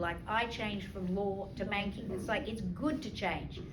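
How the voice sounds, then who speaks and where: A woman talks at a fairly quick pace, with audible room echo and noticeable background noise in the recording. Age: 60s. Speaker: leadership trainer, former lawyer and banker. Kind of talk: talk to an audience with questions.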